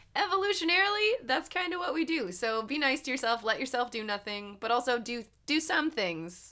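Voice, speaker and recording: At a fairly quick pace and with hardly any pauses, a woman speaks in a raised, projected voice with a high pitch and an animated tone. Her pitch swings very widely, and there is noticeable background noise. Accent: American. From US, rural countryside. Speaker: podcast host. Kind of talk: casual chat; reading aloud.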